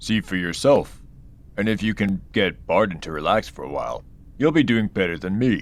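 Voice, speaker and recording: A man's put-on character voice, fairly low-pitched and moderately paced, with lively intonation over light background noise. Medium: read story. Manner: warm, hearty.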